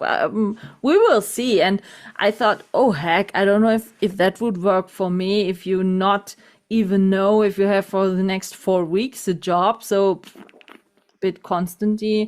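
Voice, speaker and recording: At a fairly slow pace, a woman with a normal speaking voice talks at medium pitch, her intonation fairly even and her loudness very even. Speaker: podcast host. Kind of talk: podcast interview.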